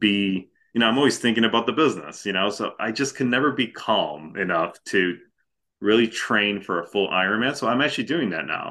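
It is a plain, everyday voice. The pitch varies in an ordinary way. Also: man. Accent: American. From Chicago suburbs, Illinois. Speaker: former home care franchise owner. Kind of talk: interview.

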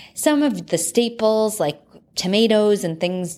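A woman speaks with a plain, everyday voice in an American accent, at a fairly slow pace and with ordinary pitch variation. The recording is very clean, with a silent background. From Texas, from age ten, after early childhood in Connecticut. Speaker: wellness coach and podcast host. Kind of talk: solo podcast monologue. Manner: upbeat.

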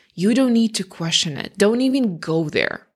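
A woman speaks with lively intonation at a moderate pace on a very clean recording with a silent background. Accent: non-native. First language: not English. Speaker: career change coach and podcast host. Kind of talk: solo podcast monologue. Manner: conversational.

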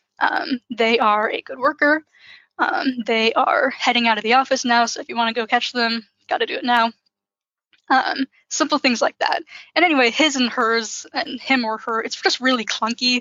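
A woman speaks in a high pitch at a moderate pace. Her pitch varies in an ordinary way. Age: 20s. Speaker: director of content and sociology PhD student. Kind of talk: interview about workplace inclusive language.

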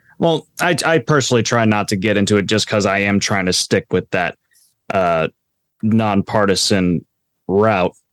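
Here is an unremarkable speaking voice from a man with an American accent and a fairly low pitch. His loudness is very even, his pitch variation ordinary, and the sound is dry and close with no echo. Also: moderate pace. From Florida, US. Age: 20s. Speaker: author and political science graduate. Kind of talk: interview discussion on politics. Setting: remote call.

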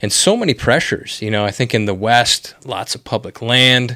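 A man with a plain, everyday voice and an American accent, fairly quick and fairly even in intonation, on a very clean recording with a silent background. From Wisconsin. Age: 40s. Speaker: podcast host. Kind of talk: casual interview. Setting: office.

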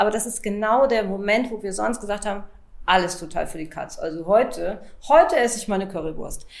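A woman of medium pitch speaks at a fairly quick pace with lively intonation and big swings in loudness. Audible room echo and noticeable background noise fill the recording. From Lower Saxony, Hanover area. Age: 40s. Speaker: pharmaceutical sales rep and coaching client. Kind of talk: interview testimony.

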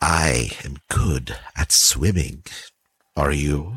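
A man speaks in a put-on character voice, booming and very deep. His pace is very slow.

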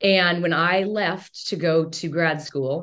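Ordinary pitch variation marks this voice, which speaks with a Western US accent. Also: woman. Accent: General American (Western US). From Montana, near Bozeman. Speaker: toxic relationship coach and chiropractor. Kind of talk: interview conversation. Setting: recorded in a gift store.

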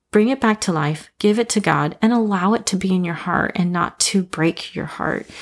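A woman with a plain, everyday voice speaks at medium pitch and a moderate pace, with ordinary pitch variation, on a very clean recording with a silent background. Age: 30s. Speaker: podcast host, school teacher and seminary student. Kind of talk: Bible study podcast monologue. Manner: casual, with frequent fillers and laughs.

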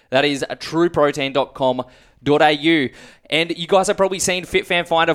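A man with an Australian accent talks at a fairly quick pace in a fairly high voice, his intonation fairly even. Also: very clean recording, silent background. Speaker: podcast host. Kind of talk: casual interview.

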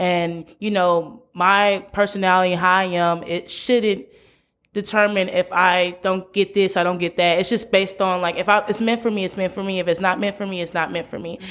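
An unremarkable speaking voice with an American accent, fairly even intonation and a moderate pace. The recording is very clean, with a silent background. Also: woman, medium pitch for a woman. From US Midwest, St. Louis, Missouri. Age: 20s. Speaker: university student and podcaster. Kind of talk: casual interview chat.

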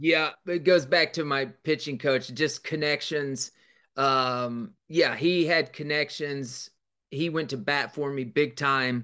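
Against a quiet background, a man speaks very slowly with a bright, sharp tone, fairly high pitch and fairly even intonation. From Kansas. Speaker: leadership coach and former college baseball coach. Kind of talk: interview. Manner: halting, with frequent repetitions.

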